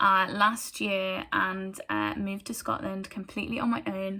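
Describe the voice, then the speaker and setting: A woman's medium-pitched voice, bright and sharp in tone, with fairly even intonation at a moderate pace. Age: 20s. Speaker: church group speaker. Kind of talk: testimony. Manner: hesitant, many fillers.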